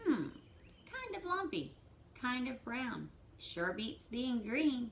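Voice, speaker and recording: A female-sounding voice is put on as a character, pitched high. It speaks very slowly over clear background noise. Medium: read story. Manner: eager, energetic.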